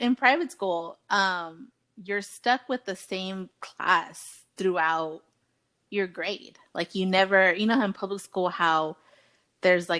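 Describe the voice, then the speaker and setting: A woman with a Spanish accent, bright and sharp in tone, at a medium pitch and a very slow pace with ordinary pitch variation, on a very clean recording with a silent background. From US, Mexican-American family. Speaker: podcast co-host. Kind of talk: casual chat. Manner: casual, conversational.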